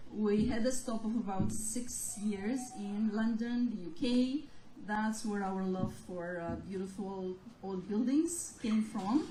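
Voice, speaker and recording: Speaking very slowly in a fairly high voice, a woman is heard with audible room echo and noticeable background noise. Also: ordinary pitch variation. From Romania. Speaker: gallery owner. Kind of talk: interview.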